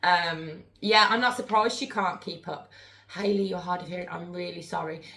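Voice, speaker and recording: With a fairly low pitch and ordinary pitch variation, a woman speaks in big swings of loudness amid audible room echo. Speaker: spirit board medium, live streamer. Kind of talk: live stream chat. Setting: live stream. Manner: fast.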